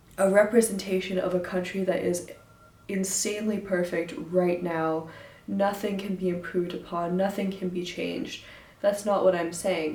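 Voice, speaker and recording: With an American accent, a woman talks at medium pitch and a moderate pace with fairly even intonation, over noticeable background noise. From United States. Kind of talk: casual talk to camera.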